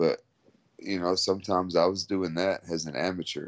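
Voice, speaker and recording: A man's very deep, low voice in a Texan accent, relaxed in tone, monotone and flat, at a fairly slow pace. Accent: Texan American English. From Texas, San Antonio. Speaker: mixed martial arts fighter. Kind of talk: interview.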